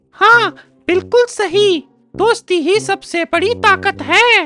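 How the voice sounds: A man puts on a character voice at an extremely high pitch. He speaks at a very slow pace with music in the background.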